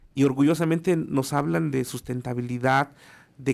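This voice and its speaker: A man speaks at a fairly slow pace. His pitch shows ordinary variation. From Mexico City. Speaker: radio commentator on small business; radio show host or commentator. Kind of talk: radio segment report; radio talk show commentary. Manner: hesitant with fillers. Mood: proud, enthusiastic. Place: studio. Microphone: studio mic.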